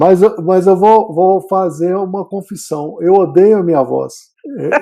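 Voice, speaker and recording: A man speaks at a fairly slow pace. His tone is dark and mellow, and his pitch is high. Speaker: medical professor. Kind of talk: casual chat.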